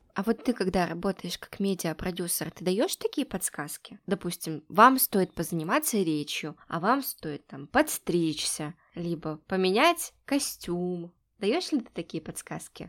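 In a very clean recording with a silent background, a woman speaks at a fairly slow pace and medium pitch, the sound dry and close with no echo. Her intonation is lively, and her loudness swings widely. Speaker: podcast host and producer. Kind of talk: casual interview.

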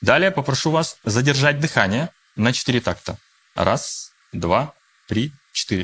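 Speaking very slowly with long, frequent pauses, a man uses a fairly high pitch, vocal fry, lively intonation and very even loudness. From Russia. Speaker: coach and mediator. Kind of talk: guided breathing exercise; interview. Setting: studio with live audience.

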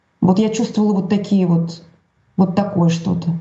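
A woman with a medium pitch and fairly even intonation speaks at a moderate pace. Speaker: journalist. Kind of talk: interview. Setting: video call.

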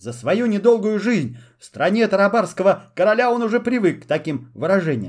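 Someone reads aloud. The delivery is plain.

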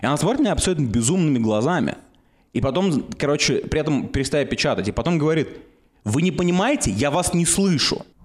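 At a very fast pace, a man with a fairly high pitch keeps his loudness very even. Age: 20s. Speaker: podcast co-host. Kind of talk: casual chat.

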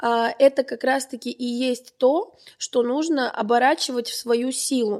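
Very slow speech from a woman at a high pitch, with ordinary pitch variation. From Armenian family. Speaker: marketing producer. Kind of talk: podcast interview. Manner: animated.

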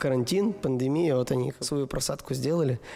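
His intonation fairly even, a man with a plain, everyday voice keeps a moderate tempo at a medium pitch. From Russia, Perm. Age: 30s. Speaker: dance studio owner and event organizer. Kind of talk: casual interview chat. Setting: studio.

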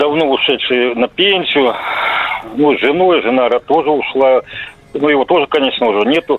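A man with a fairly high pitch at a moderate pace, very even loudness, ordinary pitch variation, long and frequent pauses, and noticeable background noise. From Siberia. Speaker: caller. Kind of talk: phone-in story.

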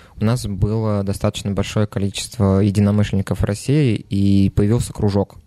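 At a moderate pace, a man talks in a fairly low pitch with a dark, mellow tone. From Nizhny Novgorod, Russia. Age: 20s. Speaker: bar manager. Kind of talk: casual chat.

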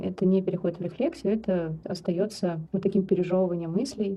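A woman uses an ordinary speaking voice at medium pitch and a fairly quick pace. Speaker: psychologist and death doula. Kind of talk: interview.

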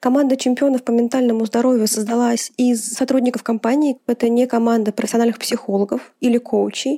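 Dry and close with no echo, a woman's high-pitched, dark, mellow voice moves at a fairly quick pace with fairly even intonation. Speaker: HR executive. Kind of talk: recorded interview segment.

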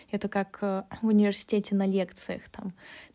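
At a fairly slow pace, the speech carries a mellow, dark tone. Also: woman. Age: 20s. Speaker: podcast co-host, AI researcher. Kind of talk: casual chat.

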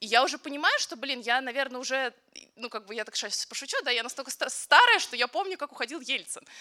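A woman's high-pitched, raised, projected voice at a very fast pace, with ordinary pitch variation. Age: 20s. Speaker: photojournalist. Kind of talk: panel discussion.

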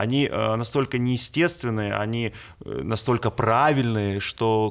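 A plain, everyday voice comes through on a very clean recording with a silent background. It moves at a fairly slow pace with ordinary pitch variation. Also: man. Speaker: radio host. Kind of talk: interview.

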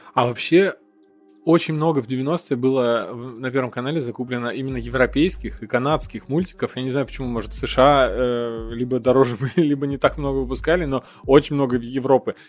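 Medium-pitched male voice at a fairly quick pace, fairly even intonation, noticeable background noise. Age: 30s. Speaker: podcast host. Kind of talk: casual chat.

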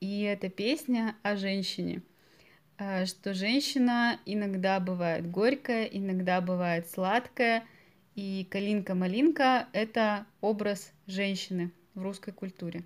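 A woman's medium-pitched voice at a very slow pace, with ordinary pitch variation, on a very clean recording with a silent background. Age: 20s. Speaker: podcast host, Russian language teacher. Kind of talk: language-learning podcast interview. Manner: slow and clear for learners.

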